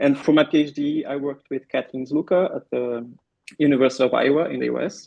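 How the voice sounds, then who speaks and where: A man at a moderate pace with a Brazilian Portuguese accent. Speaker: pain researcher and physiotherapist. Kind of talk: podcast interview. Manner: some hesitations and repeated words.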